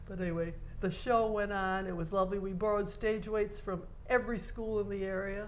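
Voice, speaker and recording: At a fairly quick pace, a woman of medium pitch speaks with an American accent amid noticeable background noise and audible room echo. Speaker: theater volunteer recalling history. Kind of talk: oral history interview. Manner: animated.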